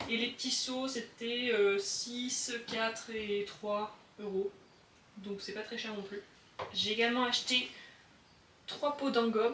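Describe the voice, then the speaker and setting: Over noticeable background noise, a woman with a fairly high pitch speaks very slowly in a flat monotone, leaving long, frequent pauses. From southern France. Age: 20s. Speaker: hobby potter. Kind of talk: casual studio tour talk to camera. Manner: calm.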